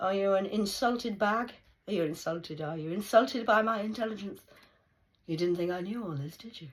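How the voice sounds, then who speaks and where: With an English accent, a woman of medium pitch speaks at a fairly quick pace, her pitch varying normally and her loudness swinging widely. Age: 40s. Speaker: vlogger. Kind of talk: rambling monologue. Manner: animated.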